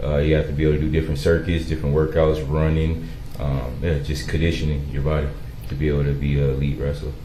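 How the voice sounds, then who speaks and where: Amid noticeable background noise and audible room echo, a man with a very deep, low pitch talks at a very fast pace. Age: 30s. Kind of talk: court testimony. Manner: halting, many fillers.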